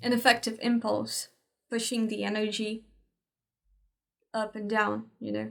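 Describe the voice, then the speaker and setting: A woman speaks at a very slow pace. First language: Portuguese. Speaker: spiritual teacher. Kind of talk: tutorial. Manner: halting.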